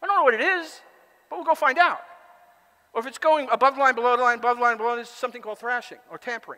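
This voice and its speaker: A man talks very fast in a raised, projected voice at an extremely high pitch, with lively intonation and big swings in loudness against a quiet background. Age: 60s. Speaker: conference speaker and author; conference speaker. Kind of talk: conference talk. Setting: stage with audience. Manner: halting. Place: hall.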